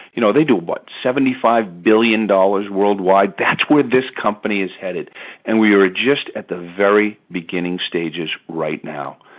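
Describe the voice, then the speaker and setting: A man talks with hardly any pauses and ordinary pitch variation. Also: fairly low pitch for a man. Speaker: network marketing presenter. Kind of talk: sales pitch. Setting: phone call. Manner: fast; animated.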